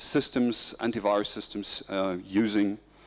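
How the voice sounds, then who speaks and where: This is a man's voice. He speaks with a German accent. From Germany. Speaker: information security expert. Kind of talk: conference presentation. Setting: conference stage with audience.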